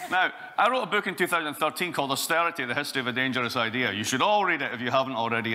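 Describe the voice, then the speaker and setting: A man is speaking. His intonation is lively. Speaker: conference speaker. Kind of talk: lecture. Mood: sarcastic, humorous. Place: hall.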